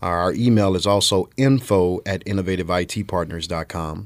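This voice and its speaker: A very clean recording with a silent background, in a Louisiana accent. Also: man. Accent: Louisiana Southern US. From central Louisiana (Marksville). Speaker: IT business owner. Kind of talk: casual chat.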